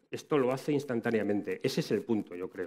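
A man at a fairly quick pace with ordinary pitch variation against a quiet background. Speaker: tech conference speaker; conference speaker. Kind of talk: conference talk. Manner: fast. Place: hall. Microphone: headset.

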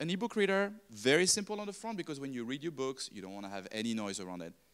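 Very wide pitch swings mark this man's very fast speech in a French accent, set against a quiet background. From France. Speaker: design consultant; speaker. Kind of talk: talk to live audience. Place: classroom. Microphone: handheld.

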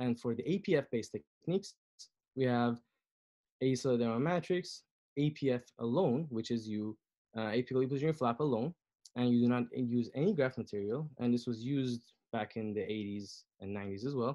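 Against a quiet background, a man with a dark, mellow tone speaks at a moderate pace and with ordinary pitch variation. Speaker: periodontist and researcher. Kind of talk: lecture. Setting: video call. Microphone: video call.

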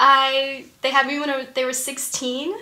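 With an American accent, a woman projects her raised voice at a high pitch and a moderate pace, her tone bright and sharp amid audible room echo. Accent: faint Southern accent, mostly suppressed. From US South. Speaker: actress and improviser. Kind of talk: interview.

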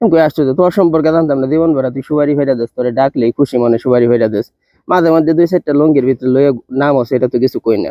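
A man with an unremarkable speaking voice talks at a fairly high pitch, with ordinary pitch variation. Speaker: vlogger. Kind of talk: casual storytelling.

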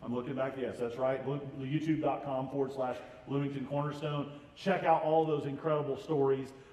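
A man with an American accent, medium-pitched and dark and mellow in tone, at a moderate pace with little pitch movement and faint background noise.

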